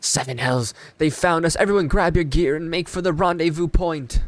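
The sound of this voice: Putting on a character voice, a man speaks at a moderate pace in a high, strained pitch.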